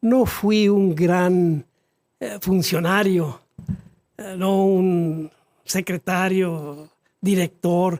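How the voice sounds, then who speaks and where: Long, frequent pauses break up a man's very slow speech. His voice sits at a high pitch with fairly even intonation. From northern Mexico, Chihuahua. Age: 80s+. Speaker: retired government tax office employee. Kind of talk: interview, personal recollections. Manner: formal; halting, with fillers.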